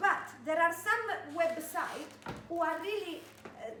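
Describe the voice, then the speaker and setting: A woman talks at a fairly slow pace. Light background noise and audible room echo are present. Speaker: fitness and activity workshop presenter; presenter. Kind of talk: workshop talk. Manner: engaging; halting. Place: meeting room. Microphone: camera far.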